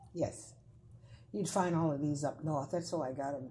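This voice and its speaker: A woman's very deep, low voice with a dark, mellow tone, somewhat breathy, fairly even intonation, and an American accent. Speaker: folklorist. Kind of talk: interview answer.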